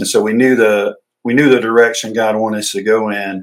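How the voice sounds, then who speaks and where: In a Southern US accent, a man talks at a moderate pace and medium pitch. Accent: Southern US (Georgia). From US South, north Georgia. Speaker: ministry director and retired army veteran. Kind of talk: interview. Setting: studio at an outreach center.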